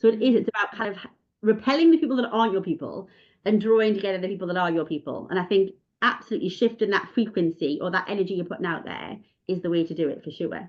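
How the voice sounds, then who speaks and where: At a very fast pace, a woman of medium pitch speaks with lively intonation. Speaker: podcast host. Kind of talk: casual chat. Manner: animated.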